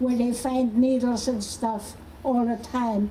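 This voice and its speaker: A woman speaks at a fairly slow pace with a fairly high pitch. Noticeable background noise runs behind her. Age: 80s+. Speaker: activist. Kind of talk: protest rally speech.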